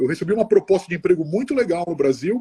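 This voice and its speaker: A man's dark, mellow voice with very wide pitch swings, dry and close with no echo. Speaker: mechanical engineer. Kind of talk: interview. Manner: halting.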